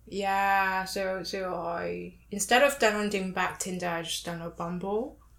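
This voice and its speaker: Fairly slowly and with fairly even intonation, a woman speaks at a medium pitch with a non-native accent. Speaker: podcast guest. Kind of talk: casual chat. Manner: chatty.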